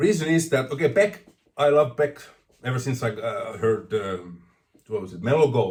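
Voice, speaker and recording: Somewhat breathy, a man with a non-native accent speaks with very wide pitch swings. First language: not English. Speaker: vinyl record collector vlogger. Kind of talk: casual vlog monologue. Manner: stuttering, rambling.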